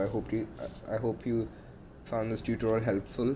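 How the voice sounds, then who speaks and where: A man with a non-native accent, a dark, mellow tone and medium pitch, at a moderate pace. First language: not English. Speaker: YouTuber teaching Rubik's cube. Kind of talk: tutorial. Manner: halting.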